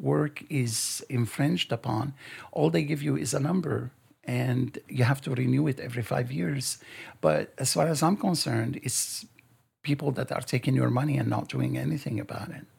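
A man speaks with a Lebanese accent. His pace is moderate. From Lebanon. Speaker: author. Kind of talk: interview.

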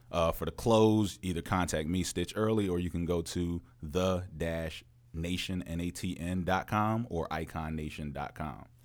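A man with an American accent speaks at a moderate pace with ordinary pitch variation. His pitch is very deep and low. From Frederick, Maryland. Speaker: rapper. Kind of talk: casual chat. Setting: studio.

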